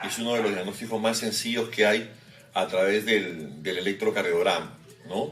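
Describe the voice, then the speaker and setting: There is noticeable background noise as a man talks at a moderate pace, fairly low in pitch with ordinary pitch variation. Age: 50s. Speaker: cardiologist. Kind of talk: medical interview explanation. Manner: hesitant fillers.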